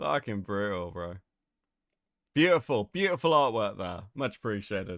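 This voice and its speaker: A man with a fairly low pitch and lively intonation speaks at a moderate pace with long, frequent pauses, in a very clean recording with a silent background and a dry, close sound with no echo. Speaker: streamer. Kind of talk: casual livestream chat.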